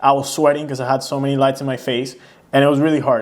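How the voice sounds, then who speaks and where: A man with a non-native accent speaks at a fairly high pitch. His pace is fairly quick. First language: not English. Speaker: YouTuber. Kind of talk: casual reaction commentary. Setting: sit-down home video.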